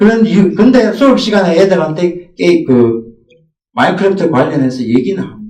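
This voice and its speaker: Audible room echo surrounds a man whose high pitch makes very wide swings at a moderate pace. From Gyeongsang region, South Korea. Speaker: middle school math teacher. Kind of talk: teacher training presentation.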